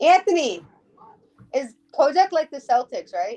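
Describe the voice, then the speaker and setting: A woman with an American accent speaks in a dark, mellow tone, recorded dry and close with no echo. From Connecticut, US. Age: 20s. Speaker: podcast guest. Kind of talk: casual chat.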